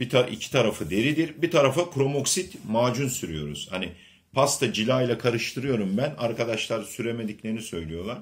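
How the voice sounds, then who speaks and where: A man speaks at a medium pitch with vocal fry and very wide pitch swings. His pace is fairly quick, with hardly any pauses. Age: 50s. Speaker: leather craftsman. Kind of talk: product demonstration. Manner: halting. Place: home room. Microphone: phone near.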